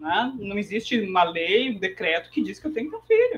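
An ordinary speaking voice at a moderate pace. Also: woman. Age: 40s. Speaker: economist and financial educator. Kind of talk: interview.

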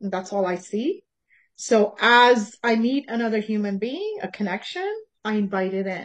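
A woman with an ordinary speaking voice at a fairly slow pace, with ordinary pitch variation and a quiet background. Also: fairly high pitch for a woman. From Canada, born in Tanzania. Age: 50s. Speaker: healer and fitness teacher. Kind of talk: casual interview.

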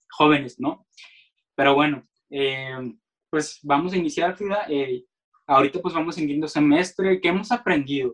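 Ordinary pitch variation from a fairly high-pitched man, at a fairly slow pace. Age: 20s. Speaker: marketing student, podcast host. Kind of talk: casual chat. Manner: halting. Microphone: poor audio quality.

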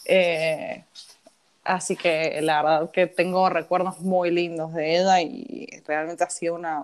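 A woman with a fairly low pitch talks at a very slow pace, her intonation fairly even. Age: 20s. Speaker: accountant. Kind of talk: casual chat. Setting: remote recording from home.

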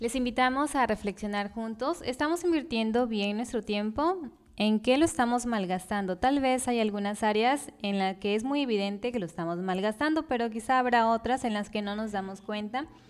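A woman talks in a plain, everyday voice, fairly high in pitch with ordinary pitch variation. Her pace is moderate, with hardly any pauses. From Mexico, Tabasco. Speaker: podcast co-host, biologist.

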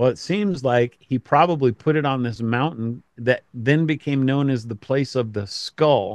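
A man with an American accent, medium pitch and ordinary pitch variation, a normal speaking voice at a fairly slow pace, in a dry, close sound with no echo. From Colorado, US. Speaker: pastor and author. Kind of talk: casual interview.

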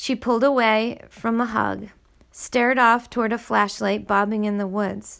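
With fairly even intonation, the words are read aloud in a natural voice.

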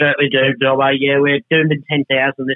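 Speaking at a moderate pace in an Australian accent, this man has a medium pitch and a flat, monotone intonation. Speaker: cattle breed society representative. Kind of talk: radio interview.

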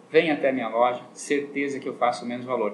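Behind this man's voice there is noticeable background noise. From southern Brazil (Rio Grande do Sul). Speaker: optician shop owner, businessman. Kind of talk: radio interview.

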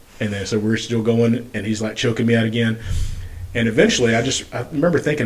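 A man is speaking, and noticeable noise can be heard behind him. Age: 40s. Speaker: podcast host and registered nurse. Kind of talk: casual interview.

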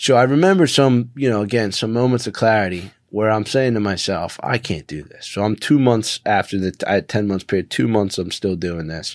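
A man with an American accent and an ordinary speaking voice talks at a fairly quick pace and fairly low pitch, with ordinary pitch variation and hardly any pauses. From Philadelphia, US Northeast. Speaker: company CEO, person in recovery from addiction. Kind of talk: interview, personal story.

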